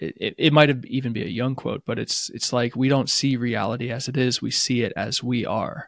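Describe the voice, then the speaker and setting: A man with an American accent talks at a fairly quick pace in a normal speaking voice, medium in pitch with fairly even intonation. The recording is very clean with a silent background and a dry, close sound with no echo. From US. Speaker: psychotherapist. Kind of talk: casual chat.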